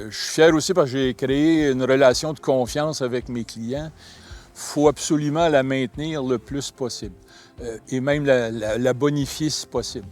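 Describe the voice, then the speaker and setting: A man in a normal speaking voice talks at a fairly slow pace and medium pitch, with fairly even intonation and big swings in loudness. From Quebec, Laval. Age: 60s. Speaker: large-animal veterinarian. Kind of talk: interview testimony.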